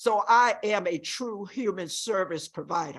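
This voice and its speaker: Over a quiet background, a woman talks with lively intonation. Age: 60s. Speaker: group home worker testifying at hearing. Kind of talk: public testimony. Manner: impassioned.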